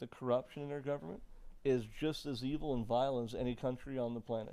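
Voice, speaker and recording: Speaking at a fairly quick pace with an American accent, a man has a medium-pitched voice, a dark, mellow tone and ordinary pitch variation. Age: 40s. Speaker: podcast host. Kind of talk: podcast interview.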